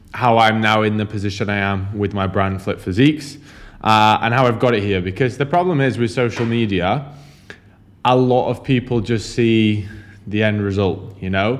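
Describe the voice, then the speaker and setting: With a Yorkshire accent, a man talks at a moderate pace in a fairly low pitch. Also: ordinary pitch variation. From northern England, Huddersfield, Yorkshire. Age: 20s. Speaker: online fitness and business coach. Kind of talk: vlog monologue. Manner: casual, filler-heavy.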